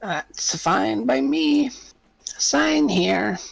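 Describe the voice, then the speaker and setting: A man puts on a character voice. It is raspy and fairly high in pitch. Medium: actual play. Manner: brusque, businesslike.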